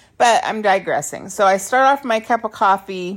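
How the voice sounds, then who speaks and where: A woman with an unremarkable speaking voice talks at a moderate pace on a very clean recording with a silent background. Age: 50s. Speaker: podcast host and author. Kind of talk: solo monologue. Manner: casual with laughs.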